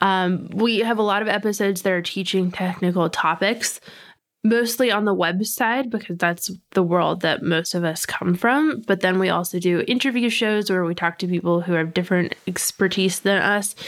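A woman with an American accent has an ordinary speaking voice at a medium pitch, with ordinary pitch variation. The recording is very clean, with a silent background. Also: moderate pace, very even loudness. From US Northeast, rural New Hampshire. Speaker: software developer and technical blogger. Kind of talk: casual interview.

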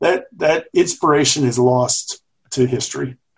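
A man speaks at a medium pitch in an American accent, his voice somewhat breathy and his pitch variation ordinary. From US South, Jacksonville, Florida. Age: 60s. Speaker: retired Navy aviator and author. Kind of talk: interview.

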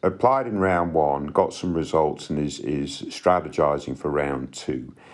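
Speaking at a fairly slow pace, a man talks with vocal fry. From Cornwall, England. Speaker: admissions consultant, co-host. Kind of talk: casual conversational podcast discussion.

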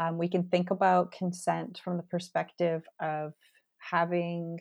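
A woman speaks at a fairly low pitch with monotone, flat intonation. The background is quiet. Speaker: academic researcher. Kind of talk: interview, explanatory.

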